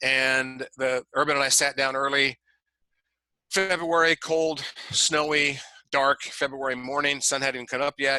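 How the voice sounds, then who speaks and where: The voice has a bright, sharp tone. Its pace is fairly slow. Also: man, fairly high pitch for a man. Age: 60s. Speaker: leadership consultant for football coaches. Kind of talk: online training talk to coaches. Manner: animated, repetitive stammering.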